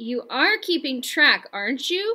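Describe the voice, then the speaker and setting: Using a put-on character voice, a woman speaks at a fairly slow pace with very wide pitch swings. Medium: read story. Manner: harsh, bossy.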